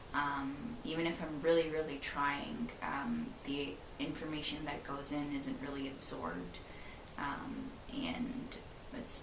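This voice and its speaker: A woman with a Canadian accent, very deep and low in pitch with very wide pitch swings, at a fairly slow pace, with audible room echo and noticeable background noise. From Canada, Ontario. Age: 20s. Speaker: vlogger, university student. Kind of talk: personal video diary. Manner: halting, many fillers.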